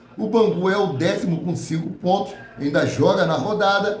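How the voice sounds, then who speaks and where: A man speaks at a moderate pace with ordinary pitch variation, with noticeable background noise and audible room echo. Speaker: football news youtuber. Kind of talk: casual news commentary.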